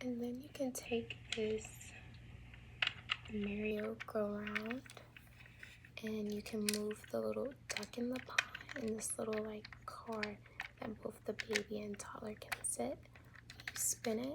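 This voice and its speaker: Long, frequent pauses break up very slow speech over noticeable background noise. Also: woman. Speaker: ASMR creator. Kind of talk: ASMR toy show-and-tell. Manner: soft-spoken, whispered.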